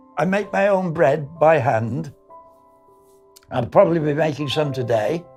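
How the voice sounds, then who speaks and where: With music in the background, a man with a fairly high pitch and lively intonation speaks at a fairly slow pace, leaving long, frequent pauses. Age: 80s+. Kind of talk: interview answer.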